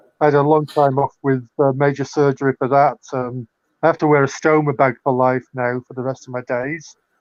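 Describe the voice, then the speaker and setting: Speaking in a Manchester accent, a man with a fairly high pitch moves at a fairly quick pace in a monotone, flat intonation. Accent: northern English (Mancunian). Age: 60s. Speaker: poet and author, former cult member. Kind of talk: casual interview chat.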